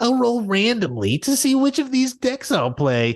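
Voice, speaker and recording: In a put-on character voice, a female-sounding speaker uses a high pitch and a whiny tone at a moderate pace, sounding whiny throughout. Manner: whiny, mocking.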